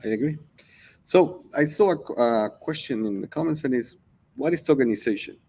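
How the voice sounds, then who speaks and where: A man's dark, mellow tone at a fairly high pitch and a fairly quick pace. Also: lively intonation. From Mexico. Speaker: company CEO. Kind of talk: livestream interview.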